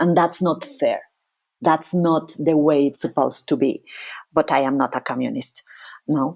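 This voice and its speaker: In a Spanish accent, a woman talks at a fairly slow pace with a very deep, low pitch and lively intonation. The recording is very clean, with a silent background. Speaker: psychologist. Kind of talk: interview.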